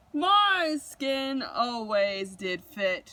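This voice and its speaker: A woman uses a put-on character voice, high-pitched and swinging very widely in pitch. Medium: read story.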